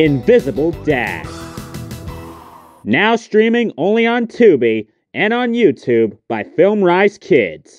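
Over music in the background, the speech moves at a very slow pace with long, frequent pauses and very wide pitch swings. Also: man, high pitch for a man. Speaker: amateur voice-over narrator. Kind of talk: movie trailer.

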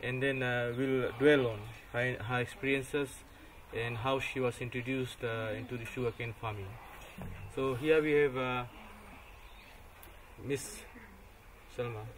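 A man speaks at a fairly slow pace with long, frequent pauses and monotone, flat intonation. His voice is somewhat breathy, with light background noise behind it. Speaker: research officer interviewer. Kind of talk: interview introduction. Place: open country.

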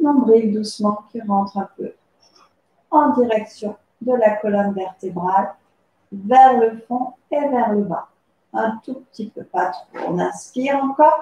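With audible room echo, a woman speaks at a very slow pace with long, frequent pauses, her somewhat breathy, dark, mellow voice showing big swings in loudness and ordinary pitch variation. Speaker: pilates instructor. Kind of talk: tutorial. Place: home room. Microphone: camera far.

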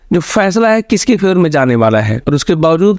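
A man at a moderate pace, very wide swings in pitch, dry and close sound with no echo. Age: 30s. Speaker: film reviewer. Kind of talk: movie review monologue.

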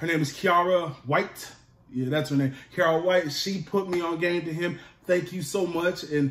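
At a moderate pace, a man talks with a high pitch and fairly even intonation, and the room echo is audible. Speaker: food vlogger. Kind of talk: casual vlog chat. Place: home room. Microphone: phone near.

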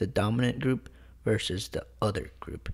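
Using a plain, everyday voice, a man with an American accent talks at a moderate pace with ordinary pitch variation. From US, partly Mexico City. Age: 20s. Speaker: student podcast co-host. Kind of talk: educational podcast discussion.

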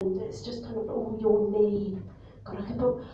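A woman speaks at a fairly high pitch. Room echo is audible, along with light background noise. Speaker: stand-up comedian. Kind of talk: live stand-up crowd work. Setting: live comedy venue. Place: bar. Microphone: camera far.

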